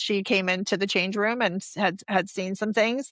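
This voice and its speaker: A woman with a Canadian accent has a bright, sharp tone, recorded with a dry, close sound with no echo against a quiet background. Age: 50s. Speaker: abuse survivor. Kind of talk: testimony. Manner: halting.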